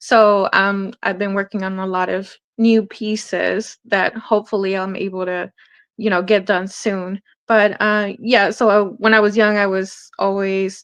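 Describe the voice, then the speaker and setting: Against a quiet background, a woman with a Spanish accent speaks at a fairly slow pace in a medium pitch. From Hawthorne, California, US. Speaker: artist, community outreach volunteer. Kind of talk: interview.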